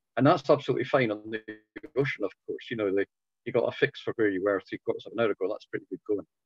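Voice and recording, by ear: A man speaks at a very fast pace, his fairly low voice carrying a slightly husky edge. His pitch varies in an ordinary way, and the sound is dry and close with no echo.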